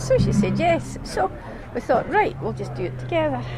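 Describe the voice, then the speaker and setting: A woman's fairly quick speech is heard through noticeable background noise. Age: 70s. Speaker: rally participant. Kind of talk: interview.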